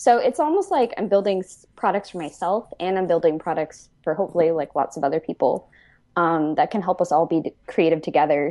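Against a quiet background, the speaker has a dark, mellow tone, ordinary pitch variation and a moderate pace. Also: woman. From Newfoundland, Canada. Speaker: software engineer. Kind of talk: interview.

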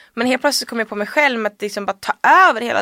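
Dry and close with no echo, a woman's fairly high voice comes through with a bright, sharp tone. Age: 20s. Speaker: journalist. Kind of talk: casual chat.

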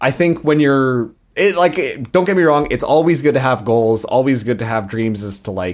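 A man's medium-pitched voice at a moderate pace, full of very wide pitch swings. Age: 20s. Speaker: podcast host. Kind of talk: casual chat.

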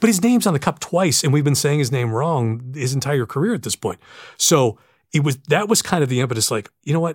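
The speech is fairly quick, somewhat breathy and lively in intonation. The recording is very clean with a silent background and a dry, close sound with no echo. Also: man, fairly high pitch for a man. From western Pennsylvania. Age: 50s. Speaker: PA announcer. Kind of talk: casual chat. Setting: home studio.

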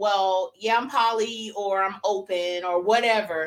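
Her voice sits at a medium pitch with ordinary pitch variation as the woman speaks at a fairly slow pace. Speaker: podcast co-host. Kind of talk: casual chat. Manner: loud.

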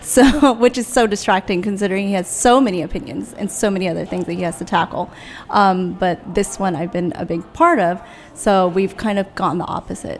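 A woman speaks at a fairly quick pace in a plain, everyday voice, her medium pitch showing ordinary pitch variation. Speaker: radio host. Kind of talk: casual chat.

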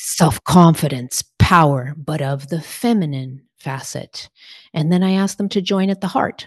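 Somewhat breathy and fairly slow, a woman speaks with lively intonation in a dry, close sound with no echo against a quiet background. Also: fairly low pitch for a woman. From Portugal. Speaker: spiritual teacher. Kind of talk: interview conversation.

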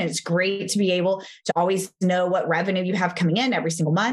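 This woman has a Texan accent. Her pitch is fairly low. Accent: American, Texan.

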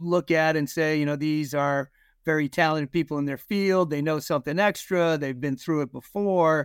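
Recorded very cleanly against a silent background, with dry, close sound and no echo, a man with an unremarkable speaking voice and an American accent talks at a moderate pace and fairly high pitch with fairly even intonation. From Massachusetts (Concord). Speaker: bank executive. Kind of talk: podcast interview.

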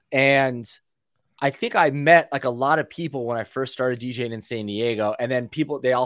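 Speaking in a plain, everyday voice with an American accent, a man keeps a medium pitch and fairly even intonation at a fairly quick pace on a very clean recording with a silent background. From Northern California. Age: 30s. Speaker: DJ. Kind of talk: casual chat.

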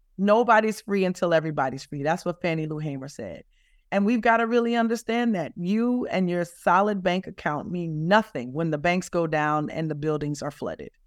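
The speaker has a Louisiana accent and lively intonation. The pace is moderate. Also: woman. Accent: Southern US (Louisiana). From South Louisiana, US. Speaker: climate justice advocate. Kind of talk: interview. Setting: remote interview from California.

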